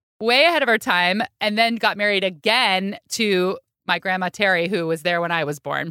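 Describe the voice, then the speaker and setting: Over a silent background in a very clean recording, a woman speaks loudly in a bright, sharp tone at a moderate pace. The sound is dry and close with no echo, and her pitch varies in an ordinary way. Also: medium pitch for a woman. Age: 40s. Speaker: food podcaster. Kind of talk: casual chat.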